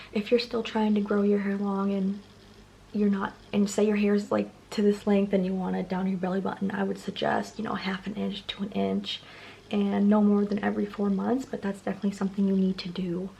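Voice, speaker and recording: Over noticeable background noise, a woman talks at a fairly quick pace in a flat monotone. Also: medium pitch for a woman. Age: 20s. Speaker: beauty vlogger. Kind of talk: tutorial. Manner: fast; casual, filler-heavy.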